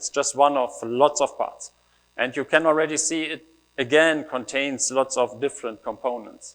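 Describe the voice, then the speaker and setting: At a moderate pace, the speaker talks with a German accent and ordinary pitch variation. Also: man. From Germany. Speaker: developer advocate. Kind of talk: conference talk. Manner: casual, with fillers.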